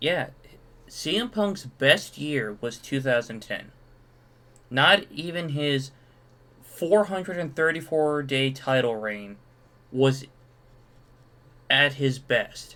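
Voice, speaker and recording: A man speaks at a very slow pace with long, frequent pauses and a fairly high pitch. His tone is bright and sharp, and his intonation is lively. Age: 20s. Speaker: streamer reacting to online posts. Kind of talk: casual solo commentary reading comments.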